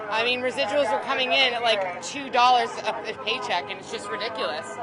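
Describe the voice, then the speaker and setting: A high-pitched woman talking at a fairly quick pace, with audible room echo and crowd noise behind her. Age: 30s. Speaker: actor. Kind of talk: street interview.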